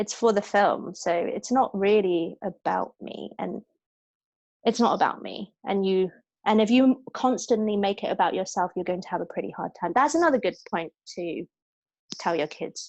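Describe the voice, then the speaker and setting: A woman with a British accent, over a quiet background. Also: medium pitch for a woman, ordinary pitch variation, moderate pace. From Hong Kong. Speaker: actress. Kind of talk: interview.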